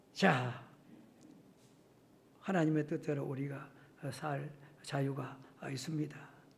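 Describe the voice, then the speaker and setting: At a very slow pace, a somewhat breathy man speaks with long, frequent pauses. There is audible room echo. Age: 70s. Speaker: retired pastor. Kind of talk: sermon. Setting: church. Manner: halting, with many fillers; animated, with sound effects.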